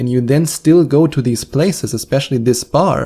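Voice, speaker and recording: Medium-pitched male speech in a German accent, dark and mellow in tone with ordinary pitch variation and a fairly quick pace, in a very clean recording with a silent background. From Germany. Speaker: hypnotherapist and podcast host. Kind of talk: podcast advice monologue. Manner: direct, encouraging.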